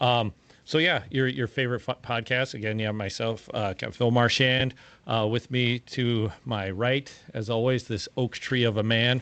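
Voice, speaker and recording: A man with a Minnesota accent talks at a fairly slow pace, with medium pitch and fairly even intonation. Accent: Midwest Minnesota. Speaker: podcast host, firefighter. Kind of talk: casual chat.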